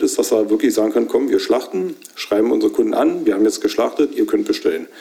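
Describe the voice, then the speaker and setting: A man is talking while noticeable background noise carries on around him. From Brandenburg, Hoher Fläming. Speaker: cattle farmer and butcher. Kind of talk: interview.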